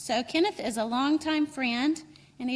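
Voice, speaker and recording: In a North Carolina accent, a woman speaks at a high pitch with ordinary pitch variation. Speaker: program director and event organizer. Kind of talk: welcome speech at conference.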